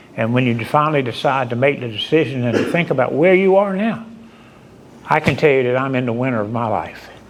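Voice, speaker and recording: Over noticeable background noise, a man's medium-pitched voice moves at a fairly quick pace. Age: 70s. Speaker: firefighter assistance program counselor. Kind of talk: speech at awards ceremony.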